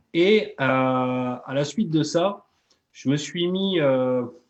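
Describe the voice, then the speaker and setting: Here a man speaks with a Toulouse accent. His intonation is lively. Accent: southern French (Toulouse). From southern France, Toulouse. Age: 30s. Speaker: MLM entrepreneur and coach. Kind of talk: live interview. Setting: live video stream. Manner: hesitant, many fillers.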